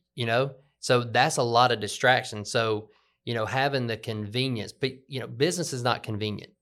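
On a very clean recording with a silent background, a man with a Southern US accent speaks at a moderate pace with fairly even intonation. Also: medium pitch for a man. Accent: Southern US (Georgia). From US South (LaGrange, Georgia). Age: 40s. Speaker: podcast host, business owner. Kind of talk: casual conversational podcast.

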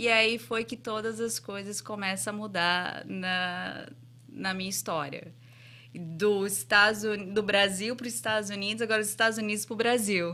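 Her tone bright and sharp, a woman with a slight English accent speaks at a medium pitch with ordinary pitch variation. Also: moderate pace. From Brazil, Santo André, São Paulo. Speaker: entrepreneur and franchise investor. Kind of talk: interview. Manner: halting.

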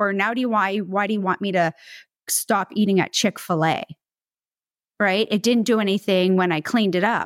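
A woman speaks at a medium pitch and a moderate pace, with fairly even intonation and long, frequent pauses. The recording is very clean and dry, close with no echo, over a silent background. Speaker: podcast co-host, holistic nutritionist. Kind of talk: casual chat, co-hosted podcast.

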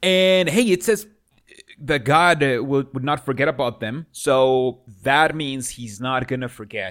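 On a very clean recording with a silent background, a man of medium pitch talks at a fairly slow pace. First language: not English. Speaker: podcast host. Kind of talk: casual banter, reaction commentary. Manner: joking, sarcastic, rambling.

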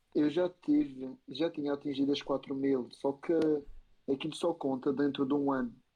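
A man with a fairly high voice speaks at a moderate pace, with very even loudness and monotone, flat intonation. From Madeira, Portugal. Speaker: YouTuber and TikToker. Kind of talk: casual chat. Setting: live stream.

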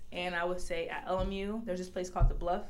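The speaker has an American accent, and there is audible room echo. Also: woman. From Los Angeles, US. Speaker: college basketball player. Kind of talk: interview. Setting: video call.

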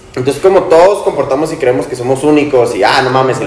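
A man talks amid noticeable background noise, and room echo can be heard. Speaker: podcast co-host. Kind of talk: casual chat among friends.

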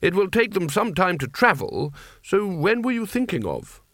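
Putting on a character voice, a man speaks at a moderate pace in a high pitch with big pitch swings and a fairly bright tone.

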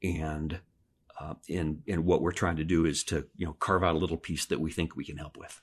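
Over a quiet background, a man with an American accent speaks at a very deep, low pitch. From Pennsylvania. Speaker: parish ministry volunteer, audiobook narrator. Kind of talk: interview conversation.

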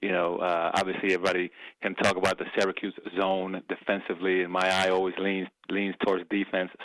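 A man's very deep, low voice in an American accent, very fast and monotone, with flat intonation. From New York, the Bronx (born Dominican Republic). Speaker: college basketball coach. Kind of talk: radio interview.

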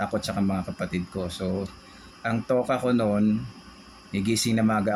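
An unremarkable speaking voice comes from a man with a fairly low pitch. He talks at a moderate pace with fairly even intonation. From Philippines, Tondo, Manila. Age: 40s. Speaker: podcast co-host. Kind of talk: casual chat.

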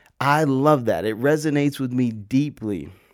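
Recorded very cleanly against a silent background, a man has an ordinary speaking voice at a medium pitch with ordinary pitch variation. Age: 20s. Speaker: podcast host. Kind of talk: casual solo monologue. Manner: casual, many fillers and repetitions.

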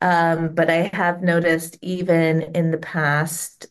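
Very slow speech from a woman with a fairly low pitch and an American accent. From US Midwest, Cincinnati, Ohio. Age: 40s. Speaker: parent. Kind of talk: interview.

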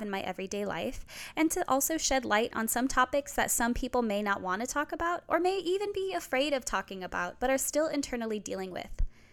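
Very fast and high-pitched, a woman with an American accent talks with very wide pitch swings. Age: 20s. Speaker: podcast host and student. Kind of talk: solo podcast intro monologue.

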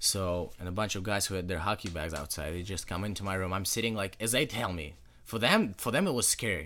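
A man with a Russian accent speaks at a very fast pace in a very deep, low pitch. His tone is bright and sharp, with ordinary pitch variation. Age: young. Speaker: high school hockey player. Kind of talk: casual interview.

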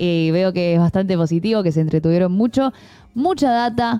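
A woman speaks at a medium pitch in a dark, mellow tone. Her pitch varies in an ordinary way. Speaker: streaming show co-host. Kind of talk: casual chat.

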